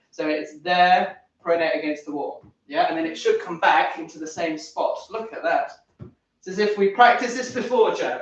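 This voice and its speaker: A man with a high voice speaks at a moderate pace, his intonation lively and his loudness rising and falling sharply. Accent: northern English. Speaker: tennis coach. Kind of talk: tutorial. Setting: live stream at home. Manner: animated.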